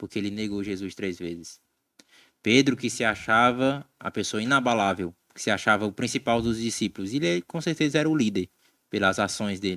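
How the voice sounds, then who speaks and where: With a Cearense accent, a man talks at a fairly quick pace in a fairly low pitch with ordinary pitch variation and a bright, sharp tone, the sound dry and close with no echo on a very clean recording with a silent background. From Ceará, northeastern Brazil. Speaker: Bible study podcast co-host. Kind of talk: casual Bible discussion.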